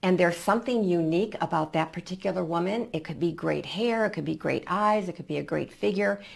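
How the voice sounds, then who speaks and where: Vocal fry runs through this very fast, lively delivery with hardly any pauses. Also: woman, fairly low pitch for a woman. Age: 70s. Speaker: image and color consultant. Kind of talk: interview.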